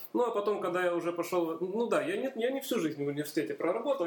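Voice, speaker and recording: At a very fast pace, a man speaks with lively intonation. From Donbas, Ukraine (Horlivka). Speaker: university chemistry lecturer. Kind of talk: casual interview.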